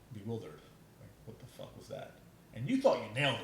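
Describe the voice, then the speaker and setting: A man with an American accent talking very fast, with vocal fry and audible echo from the room. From New York City. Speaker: podcast guest, trained actor. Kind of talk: casual interview chat. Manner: halting, many restarts.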